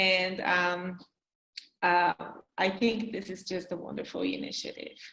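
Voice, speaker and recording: This woman speaks at a medium pitch with a bright, sharp tone and vocal fry, keeping her intonation fairly even at a fairly slow pace broken by long, frequent pauses. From Brazil. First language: not English. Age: 40s. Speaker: graduate student, panelist. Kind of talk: panel discussion.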